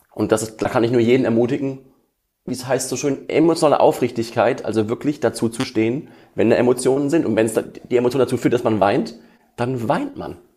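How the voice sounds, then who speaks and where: With a dark, mellow tone, the man talks at a medium pitch. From Ruhr area, western Germany (Essen). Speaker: emotion coach and musician. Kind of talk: interview. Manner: hesitant with fillers.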